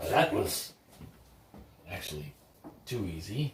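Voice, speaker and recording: Put-on character voice from a man, delivered at a fairly slow pace. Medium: actual play. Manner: cocky, brusque.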